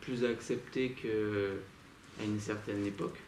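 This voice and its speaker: In a flat monotone, a man with a fairly low pitch speaks at a very slow pace. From southern France, Nîmes. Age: 20s. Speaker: street artist. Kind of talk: interview. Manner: hesitant, many fillers.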